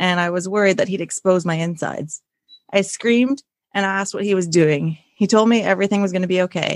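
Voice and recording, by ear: The background stays quiet. A person reads aloud in a natural voice.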